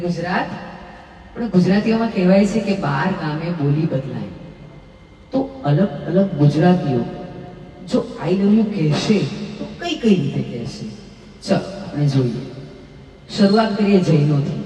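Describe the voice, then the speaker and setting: A woman with a fairly low pitch and lively intonation, music in the background. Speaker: stand-up comedian. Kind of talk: stand-up comedy audition routine. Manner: lively, comic.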